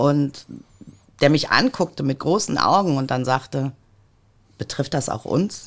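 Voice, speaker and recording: A woman's very deep, low pitch with ordinary pitch variation, a fairly slow pace, and long, frequent pauses. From Ruhr area, Germany (Mülheim an der Ruhr). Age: 50s. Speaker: politician. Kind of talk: podcast interview.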